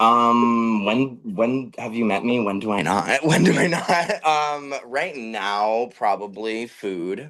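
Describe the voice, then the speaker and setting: Spoken very slowly with an American accent, the delivery shows ordinary pitch variation. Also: man, medium pitch for a man. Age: 20s. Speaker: drag performer. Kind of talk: casual chat; sales pitch. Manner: animated.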